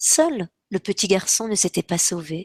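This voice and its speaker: A woman's medium-pitched voice sounds dry and close with no echo, recorded very cleanly against a silent background. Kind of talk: children's story reading.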